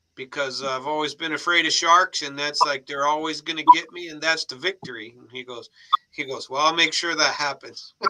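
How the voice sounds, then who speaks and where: A man's bright, sharp voice moves at a fairly quick pace, with fairly even intonation but big swings in loudness. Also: fairly high pitch for a man. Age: 60s. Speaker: family member on a live stream. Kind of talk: casual chat.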